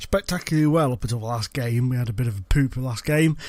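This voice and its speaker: With an English accent, a man talks at a medium pitch and with ordinary pitch variation. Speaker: gaming youtuber. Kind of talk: gameplay commentary. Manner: casual, chatty.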